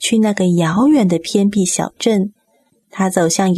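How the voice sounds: A natural reading voice is heard. Quiet surrounds it.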